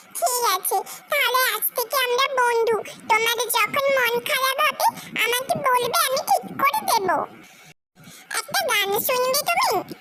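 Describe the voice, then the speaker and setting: Putting on a cartoonish character voice, a woman speaks at an extremely high pitch and a fairly slow pace. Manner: cheerful, friendly.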